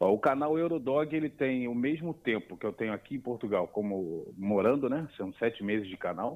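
This man uses a normal speaking voice at a medium pitch. He keeps a moderate pace with lively intonation. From Brazil, Niterói (Rio de Janeiro). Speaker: immigrant video creator. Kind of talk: casual chat.

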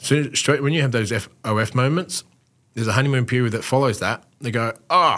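A man of medium pitch talks at a fairly quick pace with an Australian accent. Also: ordinary pitch variation. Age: 40s. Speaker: former pro footballer, mental health advocate. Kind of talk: casual interview.

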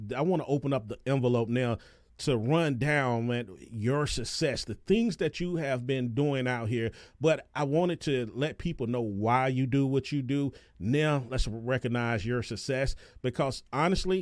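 Someone with an American accent speaks with ordinary pitch variation on a very clean recording against a silent background. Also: man, medium pitch for a man, moderate pace. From North Carolina. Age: 40s. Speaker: podcast host. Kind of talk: casual interview. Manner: animated.

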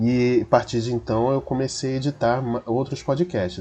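His tone is dark and mellow. The man speaks at a fairly slow pace. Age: 30s. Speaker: podcast editor. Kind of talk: self-introduction.

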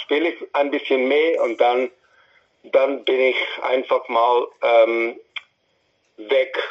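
The man talks at a very slow pace. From India (New Delhi). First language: English (also Hindi) (speaking German). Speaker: musician. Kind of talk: interview. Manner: halting.

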